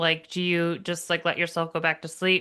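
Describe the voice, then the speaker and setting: In an unremarkable speaking voice, a woman talks at a moderate pace with a fairly low pitch. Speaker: podcast host. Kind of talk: podcast interview, host speaking.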